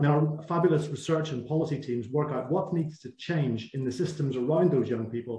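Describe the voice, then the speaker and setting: A man with a dark, mellow, somewhat breathy voice talks at a fairly quick pace with ordinary pitch variation, and room echo is audible. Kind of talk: webinar presentation. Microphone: video call.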